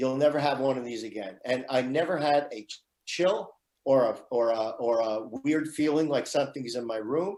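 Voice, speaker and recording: Medium-pitched male speech at a moderate pace, a plain, everyday voice with ordinary pitch variation. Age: 60s. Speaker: radio show guest. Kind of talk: personal testimony.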